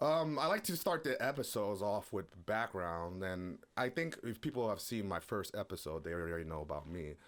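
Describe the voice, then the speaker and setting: A man with a fairly low pitch talks at a moderate pace, with very wide pitch swings and hardly any pauses. The recording is very clean, with a silent background. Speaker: podcast host. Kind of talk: casual chat. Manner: loud.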